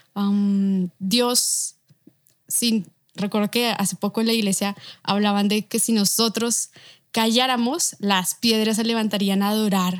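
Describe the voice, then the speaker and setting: With a normal speaking voice, a woman talks at medium pitch, her loudness very even and her intonation fairly even. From Bogotá, Colombia. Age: 20s. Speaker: illustrator. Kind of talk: interview conversation.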